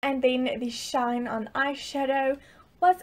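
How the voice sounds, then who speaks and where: A woman talks at a fairly slow pace. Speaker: beauty vlogger. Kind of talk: product review vlog chat. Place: home room. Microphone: camera far.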